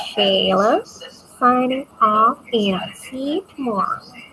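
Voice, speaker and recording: A woman talks with a Visayan accent. Noticeable background noise sits behind her voice. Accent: Bisaya. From Philippines. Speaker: vlogger. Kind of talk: casual late-night monologue. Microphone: built-in mic, external mic not yet arrived.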